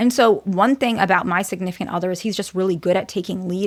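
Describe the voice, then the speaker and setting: Here a woman speaks at a medium pitch with ordinary pitch variation. She moves at a fairly quick pace in a very clean recording with a silent background. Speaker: therapist and psychology doctoral student. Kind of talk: educational talk to camera. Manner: soft-spoken; casual with fillers.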